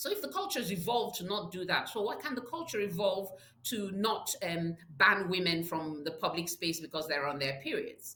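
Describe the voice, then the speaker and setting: A woman speaks with lively intonation. Noticeable background noise is present. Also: medium pitch for a woman, moderate pace. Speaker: public health advocate. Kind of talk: interview. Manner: halting.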